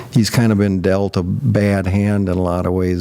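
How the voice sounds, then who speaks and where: Noticeable background noise sits behind a man whose fairly low pitch holds a monotone, flat intonation. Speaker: guest sharing life story. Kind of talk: interview testimony.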